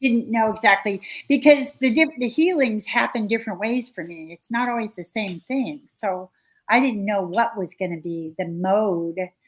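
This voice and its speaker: Fairly high-pitched and somewhat breathy, a woman speaks with lively intonation. The recording is very clean, with a silent background. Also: moderate pace, big swings in loudness. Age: 60s. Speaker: researcher and author. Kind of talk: interview conversation.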